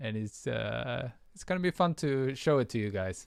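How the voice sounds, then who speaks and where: A man with a Swedish accent speaks at a fairly slow pace with lively intonation, on a very clean recording with a silent background and a dry, close sound with no echo. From Sweden. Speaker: music producer. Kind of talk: livestream tutorial chat. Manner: hesitant, many fillers.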